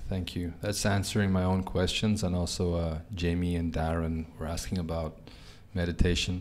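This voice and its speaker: With a very deep, low pitch, a man talks at a moderate pace and fairly even intonation. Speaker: podcast host. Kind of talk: interview. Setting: in person. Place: cafe. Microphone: studio mic.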